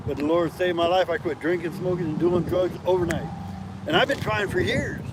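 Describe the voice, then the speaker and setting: With an American accent, a man talks at a fairly quick pace in a high voice with ordinary pitch variation over noticeable background noise. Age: 60s. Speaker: passerby. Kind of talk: testimony.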